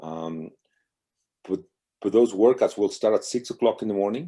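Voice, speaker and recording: A man talks at a fairly quick pace. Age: 60s. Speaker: marathon swimmer. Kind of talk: interview. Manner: halting.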